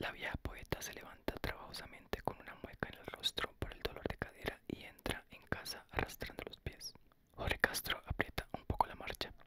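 A soft-spoken whisper at a fairly quick pace, dry with no echo, over loud background noise. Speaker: ASMR narrator. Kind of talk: audiobook reading. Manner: soft whispered ASMR book reading.

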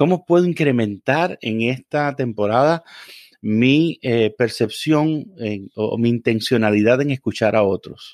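At a fairly slow pace, a man speaks in a normal speaking voice with medium pitch and ordinary pitch variation, the sound dry and close with no echo. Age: 40s. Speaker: reverend. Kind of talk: casual interview conversation.

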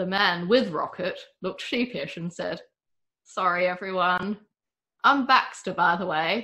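Against a quiet background, this is plain reading aloud with ordinary pitch variation.

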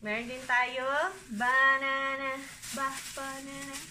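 Over light background noise, a woman speaks in a raised, projected voice at a high pitch, very slowly and with monotone, flat intonation. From Philippines. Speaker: vlogger. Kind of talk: grocery haul vlog. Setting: at home. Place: kitchen. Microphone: phone near.

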